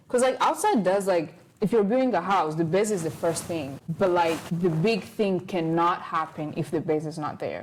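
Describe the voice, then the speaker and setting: A woman's animated, fairly low voice at a moderate pace, with ordinary pitch variation. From Rwanda. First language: not English. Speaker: podcast host, college student. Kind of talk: casual chat. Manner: halting.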